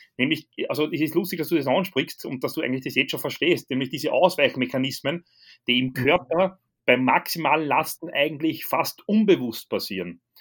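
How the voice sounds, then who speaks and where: Ordinary pitch variation marks an unremarkable speaking voice at a moderate pace. The background is silent in this very clean recording. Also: man, fairly high pitch for a man. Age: 30s. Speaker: strength coach. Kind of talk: casual chat.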